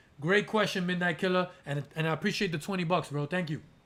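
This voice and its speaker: A man speaks loudly in a high pitch. His tone is animated, with ordinary pitch variation. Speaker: aquarium YouTuber. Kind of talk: live stream Q&A. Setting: live stream.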